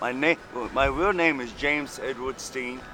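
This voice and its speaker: Over noticeable background noise, a man talks at a fairly slow pace. His pitch is medium. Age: 30s. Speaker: homeless former prisoner telling his story. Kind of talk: street interview.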